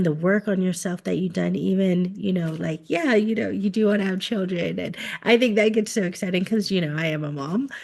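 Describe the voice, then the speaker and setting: Over a quiet background, a woman with an unremarkable speaking voice and an American accent talks at a moderate pace and medium pitch with lively intonation. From United States. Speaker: podcast host. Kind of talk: podcast interview.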